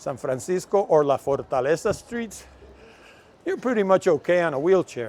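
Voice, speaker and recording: A man's high voice with lively intonation, a Puerto Rican accent and a moderate pace. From Puerto Rico. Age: 70s. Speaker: travel vlogger. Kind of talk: casual walking vlog. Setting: outdoors.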